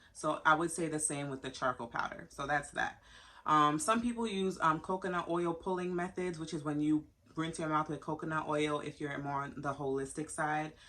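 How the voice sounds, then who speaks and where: Woman's voice with a very deep, low pitch at a moderate pace. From Haiti. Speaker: dental hygienist and nursing student. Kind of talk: casual tutorial.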